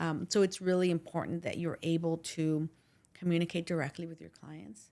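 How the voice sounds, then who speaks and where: Loudness swings widely as a woman talks at a fairly quick pace. Her fairly low voice has a dark, mellow tone and fairly even intonation. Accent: slight Spanish. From Los Angeles, Pico Union. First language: Spanish. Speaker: personal injury attorney. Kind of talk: interview conversation.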